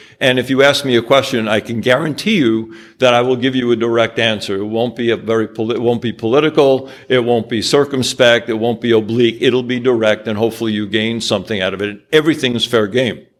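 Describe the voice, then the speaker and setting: Very fast and with hardly any pauses, a man with a New York accent talks at medium pitch with fairly even intonation. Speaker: angel investor. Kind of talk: business presentation with slides. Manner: direct, blunt.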